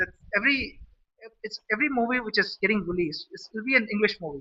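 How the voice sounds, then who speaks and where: The speaker has an Indian accent and lively intonation. The pace is moderate. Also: man. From India, Madurai, Tamil Nadu. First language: Saurashtra. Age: 40s. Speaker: vlogger. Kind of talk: casual monologue. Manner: halting, many restarts.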